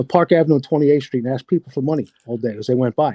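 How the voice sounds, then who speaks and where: A man speaks with a dark, mellow tone. The sound is dry and close, with no echo. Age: 60s. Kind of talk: casual chat.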